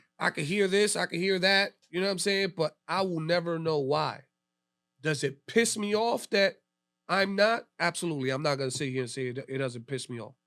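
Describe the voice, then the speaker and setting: A loud man with an American accent speaks at a fairly quick pace in a high pitch with lively intonation. The recording is very clean with a silent background. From New York City, Lower East Side. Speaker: DJ. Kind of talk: casual interview chat. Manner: talkative.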